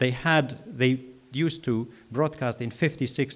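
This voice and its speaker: With a Kurdish accent, a man speaks at medium pitch with ordinary pitch variation. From Iraqi Kurdistan. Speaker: journalist. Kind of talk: Q&A answers at a festival.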